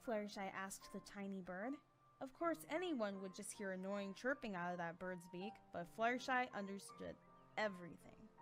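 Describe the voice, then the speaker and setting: A woman at a medium pitch with lively intonation and a moderate pace, over music in the background. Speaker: voice actor. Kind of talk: story narration.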